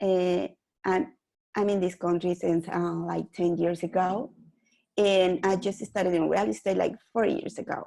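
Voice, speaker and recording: A woman with a Mexican accent, dark and mellow in tone, at medium pitch and a fairly slow pace, with ordinary pitch variation and very even loudness. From Mexico City, Mexico. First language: Spanish. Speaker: real estate investor. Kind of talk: interview guest. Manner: halting, with hesitations.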